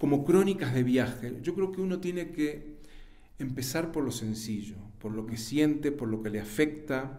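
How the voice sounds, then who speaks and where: A man with a Uruguayan accent speaks at a fairly slow pace and fairly high pitch with lively intonation. His tone is dark and mellow, with audible room echo. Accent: Rioplatense Spanish (Uruguayan). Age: 70s. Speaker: writer and journalist. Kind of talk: interview.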